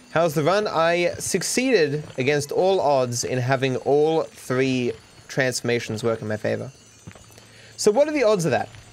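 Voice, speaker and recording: A moderate pace against noticeable background noise. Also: man, fairly high pitch for a man, lively intonation. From Australia. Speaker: video game streamer. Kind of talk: casual livestream chat. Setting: livestream.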